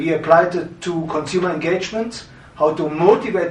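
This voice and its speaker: A man with a German accent speaks at a moderate pace in a high voice with ordinary pitch variation. Noticeable background noise and audible room echo fill the recording. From Germany, Berlin. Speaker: branding consultant and historian. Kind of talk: course introduction.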